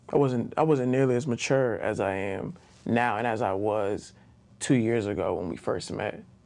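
A man with a medium-pitched voice talks, and the room's echo can be clearly heard. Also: ordinary pitch variation, moderate pace. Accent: American. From Baltimore, Maryland, US. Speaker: attorney. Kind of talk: casual interview.

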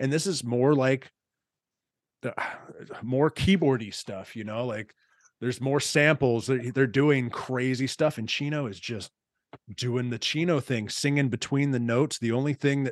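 At a medium pitch and a moderate pace, a man speaks with ordinary pitch variation in a very clean recording with a silent background. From Texas. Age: 40s. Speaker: podcast host. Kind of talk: casual chat.

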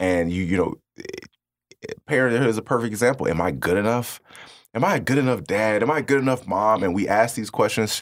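With lively intonation and a fairly quick pace, a man talks in a normal speaking voice at a medium pitch. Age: 30s. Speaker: public speaker. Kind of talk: casual interview chat.

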